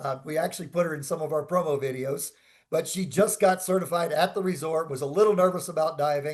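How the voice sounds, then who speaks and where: Loud and fairly quick, a man with a high pitch speaks with fairly even intonation. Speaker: dive resort representative. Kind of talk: seminar Q&A.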